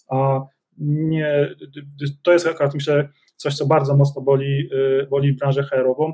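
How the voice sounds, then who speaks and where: Fairly high in pitch, a man speaks slowly in a dark, mellow tone with flat, monotone intonation and long, frequent pauses. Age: 40s. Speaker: business executive. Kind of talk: interview.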